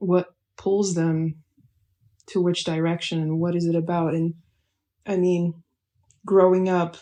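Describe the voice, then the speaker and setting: Against a quiet background, a woman speaks very slowly in a dark, mellow tone with flat, monotone intonation. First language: not English. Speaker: vlogger. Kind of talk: casual chat. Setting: at home over breakfast.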